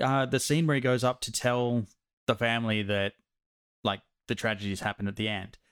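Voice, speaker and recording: A man's plain, everyday voice at medium pitch, fairly quick pace and ordinary pitch variation, dry, close sound with no echo. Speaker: podcast host. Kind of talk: casual banter podcast.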